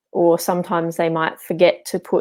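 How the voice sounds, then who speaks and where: In an Australian accent, a woman speaks at a moderate pace with a fairly low pitch. The recording is very clean, with a silent background. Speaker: architect and English teacher. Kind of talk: interview. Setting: live video stream.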